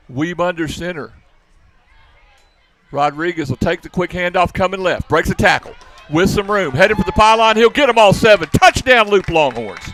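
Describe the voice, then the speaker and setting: Music plays behind a man with a high pitch, an animated tone, and lively intonation. He keeps a moderate pace with long, frequent pauses in a dry, close sound with no echo. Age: old. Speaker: football play-by-play announcer. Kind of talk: live commentary.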